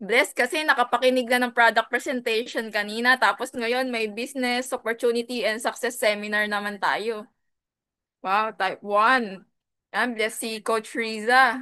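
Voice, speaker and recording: The tone is bright and sharp, set against a quiet background. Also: woman, fairly high pitch for a woman, moderate pace. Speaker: business coach, former teacher. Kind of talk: business opportunity seminar. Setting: video call. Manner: energetic.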